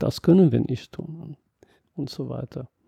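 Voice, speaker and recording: A man with an English accent speaks with lively intonation at a fairly high pitch. His tone is dark and mellow, and the sound is dry and close with no echo. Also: very clean recording, silent background. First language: English (speaking German). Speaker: mathematics professor. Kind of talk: interview. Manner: halting.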